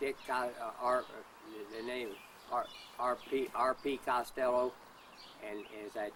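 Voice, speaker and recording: A man with a US Midwestern accent speaks in a medium pitch with monotone, flat intonation. Long, frequent pauses break up his speech over noticeable background noise. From US Midwest, Kansas and Missouri. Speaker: interviewee, father of a whistleblower. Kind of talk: interview. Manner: halting, stammering repetitions.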